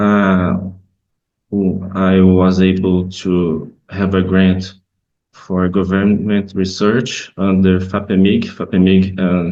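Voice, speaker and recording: A man with a Brazilian Portuguese accent talks at a very slow pace in a very deep, low pitch. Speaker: professor. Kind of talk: conference presentation. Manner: halting.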